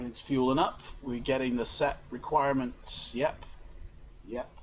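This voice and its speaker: A man speaks at a fairly slow pace. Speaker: YouTuber and live streamer, flight sim and author. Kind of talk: casual live stream talk to camera.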